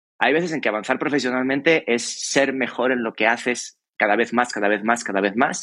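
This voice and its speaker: Here a man is speaking. His pace is very fast. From Spain, Extremadura (Cáceres). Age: 40s. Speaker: creative and innovation consultant. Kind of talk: interview conversation. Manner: repeats words, thinking aloud.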